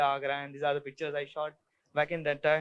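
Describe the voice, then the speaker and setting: A man with an Indian accent talks in a bright, sharp tone. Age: young. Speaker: photographer. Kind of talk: talk to an audience. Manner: halting.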